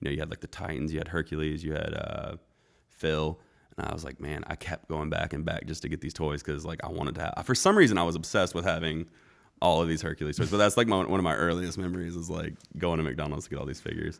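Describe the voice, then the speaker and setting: Very fast speech with fairly even intonation comes through in a very clean recording with a silent background. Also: man, very deep, low pitch for a man. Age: 30s. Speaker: chef and restaurant owner. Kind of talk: casual chat. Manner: relaxed.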